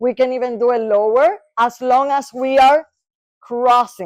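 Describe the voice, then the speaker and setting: A woman with a Spanish accent speaks in an animated tone at a high pitch, at a moderate pace with ordinary pitch variation, over a quiet background. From Latin America. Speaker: neuropsychologist. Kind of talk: lecture.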